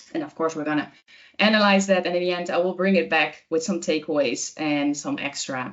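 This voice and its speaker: With a Dutch accent, a woman talks at a fairly quick pace. Her voice is fairly low, with ordinary pitch variation. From Netherlands, Amsterdam area. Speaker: communication trainer. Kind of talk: webinar presentation. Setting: online webinar. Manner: hesitant, many filler words.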